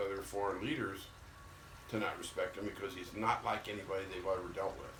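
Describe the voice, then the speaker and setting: Very fast male speech with an American accent, fairly low in pitch, over noticeable background noise and audible room echo. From Missouri. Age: 70s. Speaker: retired former baseball player. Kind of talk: casual chat. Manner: blunt, emphatic.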